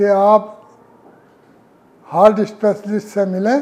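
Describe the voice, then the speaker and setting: A man is speaking. Music plays in the background. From India, western Uttar Pradesh (Muzaffarnagar). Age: 70s. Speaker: heart surgery patient, retired government employee. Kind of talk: testimonial interview.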